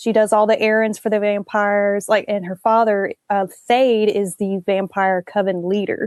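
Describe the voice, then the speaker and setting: A fairly high-pitched woman speaks in a Southern accent at a moderate pace. The sound is dry and close with no echo, over a quiet background. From US South. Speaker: author. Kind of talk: interview.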